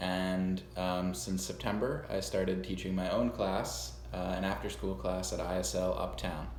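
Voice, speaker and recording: Here a man with an American accent and a very deep, low pitch uses lively intonation at a moderate pace, with hardly any pauses and very even loudness. Noticeable background noise and audible room echo are present. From US Northeast, Long Island, New York. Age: 20s. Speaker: music teacher. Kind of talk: self-introduction video to students. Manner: casual, with many fillers.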